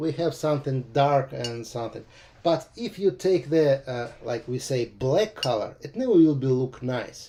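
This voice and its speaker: This man speaks with a Russian accent at a fairly slow pace, his pitch fairly high. The tone is dark and mellow and somewhat breathy, with ordinary pitch variation. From Russia (Moscow). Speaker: watercolor painting teacher. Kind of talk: live painting demo tutorial. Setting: livestream. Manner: hesitant, frequent uh fillers.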